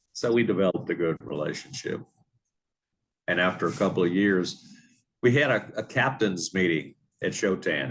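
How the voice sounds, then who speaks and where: A man with a Louisiana accent speaks at a moderate pace in a very deep, low pitch with ordinary pitch variation. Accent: Louisiana Southern US. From New Orleans area, Louisiana. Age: 70s. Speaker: retired marine business owner. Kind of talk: interview. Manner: halting, many fillers.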